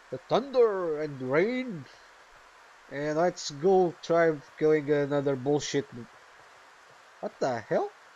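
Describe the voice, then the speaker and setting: Taking long, frequent pauses, a man with a fairly high voice speaks at a very slow pace with lively intonation. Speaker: gaming youtuber. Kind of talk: let's play commentary. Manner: animated.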